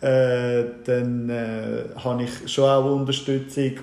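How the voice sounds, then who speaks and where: A man talks at a very slow pace with a medium pitch and fairly even intonation. Noticeable background noise and audible room echo surround him. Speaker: IT business owner. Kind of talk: casual interview chat. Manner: halting, many fillers.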